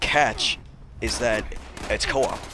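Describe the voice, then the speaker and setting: Speaking at a fairly slow pace in a monotone, flat intonation, the voice comes through noticeable background noise. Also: man. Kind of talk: casual chat. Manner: casual, filler-heavy.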